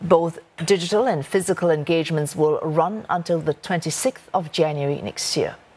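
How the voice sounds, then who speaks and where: This woman has a normal speaking voice, fairly low in pitch, with ordinary pitch variation at a moderate pace. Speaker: news anchor. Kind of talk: news reading, scripted bulletin. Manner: formal, crisp, measured.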